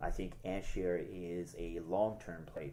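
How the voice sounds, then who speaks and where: A man with a very deep, low pitch speaks amid audible room echo. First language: French. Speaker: crypto YouTuber, tech sales worker. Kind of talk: casual market analysis vlog. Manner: hesitant, many fillers.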